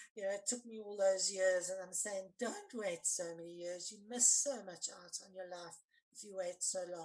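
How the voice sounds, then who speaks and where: Speaking in a normal speaking voice at a medium pitch and moderate pace, a woman shows ordinary pitch variation and big swings in loudness. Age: 60s. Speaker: forgiveness coach and anti-violence activist. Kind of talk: podcast interview, personal testimony.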